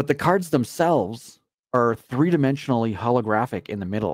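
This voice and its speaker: An unremarkable speaking voice from a man at medium pitch, with lively intonation and a moderate pace, in a dry, close sound with no echo and a very clean recording over a silent background. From Canada. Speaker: co-host. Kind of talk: casual live talk show banter.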